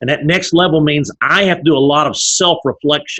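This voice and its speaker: A man with an East Texas accent, an energetic tone, a fairly high pitch, ordinary pitch variation and a fairly quick pace. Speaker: business leader. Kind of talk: interview. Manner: fast-paced.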